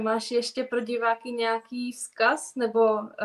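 The speaker is a woman with a high pitch. The background is quiet. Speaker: interviewer. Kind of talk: interview conversation. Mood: warm, calm, polite. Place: home room. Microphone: video call.

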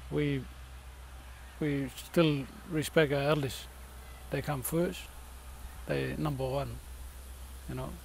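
A man talks very slowly, leaving long, frequent pauses, and audible room echo surrounds his voice. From Fitzroy Crossing, Kimberley, Western Australia. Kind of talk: interview.

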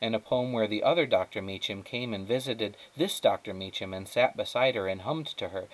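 Someone reads aloud in a natural voice. The intonation is lively.

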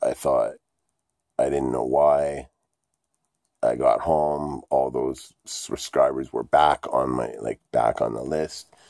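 A man speaks at a very slow pace with long, frequent pauses over a quiet background. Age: 40s. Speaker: vlogger. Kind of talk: casual vlog monologue. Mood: ranting, frustrated at times. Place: home room. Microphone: phone near.

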